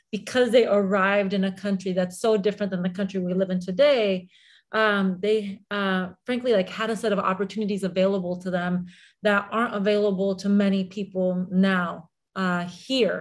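Monotone, flat intonation runs through the speech at a moderate pace. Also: woman, quiet background. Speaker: interview guest. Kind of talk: interview answer. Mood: warm, reflective personal story. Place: home room. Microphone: video call.

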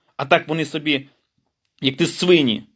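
Bright and sharp in tone, a man's fairly high voice moves at a fairly slow pace. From western Ukraine, Rivne region. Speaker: independent journalist. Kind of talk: angry political rant to camera.

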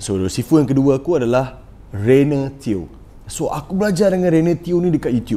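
The voice is a man's, dark and mellow in tone. The intonation is lively. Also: moderate pace. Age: 20s. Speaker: podcast host and trader; podcast host. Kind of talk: casual chat. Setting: studio. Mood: relaxed, chatty storytelling. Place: studio. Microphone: lapel.

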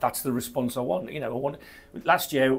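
The pace is moderate. A man speaks at a medium pitch. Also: ordinary pitch variation.

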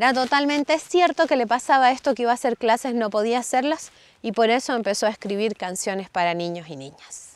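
A woman is speaking. Her tone is gentle and warm. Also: dry sound with no echo. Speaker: storyteller. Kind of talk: bedtime story telling. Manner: animated, playful, dramatic pauses; gentle, warm, child-directed. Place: open country. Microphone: lapel.

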